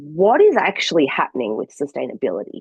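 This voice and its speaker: This is a woman with an Australian accent and a fairly low pitch. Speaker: sustainability communications consultant. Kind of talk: webinar presentation.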